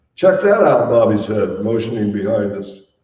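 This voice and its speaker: The voice has a dark, mellow tone, somewhat breathy, at a moderate pace. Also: man. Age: 80s+. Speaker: author. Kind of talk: author reading from his memoir.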